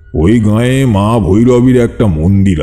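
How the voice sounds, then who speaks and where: A man's put-on character voice at a fairly slow pace, with faint music in the background. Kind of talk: rural ghost-story telling. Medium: audio drama. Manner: unhurried, confiding, addressing listeners directly.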